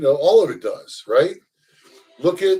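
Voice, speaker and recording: This is a man speaking. He has an American accent. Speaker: social commentary video host. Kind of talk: casual monologue. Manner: calm; hesitant, many fillers.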